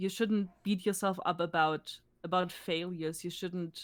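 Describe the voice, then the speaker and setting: A woman with a German accent and a medium pitch speaks at a moderate pace with fairly even intonation, in a very clean recording with a silent background. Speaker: esports team manager. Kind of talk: interview. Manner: halting.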